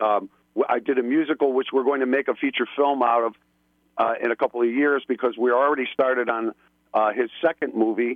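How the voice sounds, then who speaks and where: With an upstate New York accent, a man of medium pitch speaks at a fairly quick pace, with fairly even intonation and very even loudness. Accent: upstate New York, flat A's. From Buffalo, New York. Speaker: filmmaker and musician. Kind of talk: casual chat. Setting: phone call.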